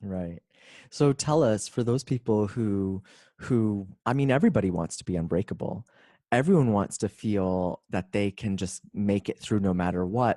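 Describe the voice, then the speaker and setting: In a normal speaking voice, the speaker talks at a moderate pace with ordinary pitch variation, the sound dry and close with no echo. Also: man, fairly low pitch for a man. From Canada. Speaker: author and speaker. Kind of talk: interview.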